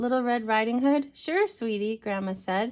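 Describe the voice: Plain reading aloud, nothing more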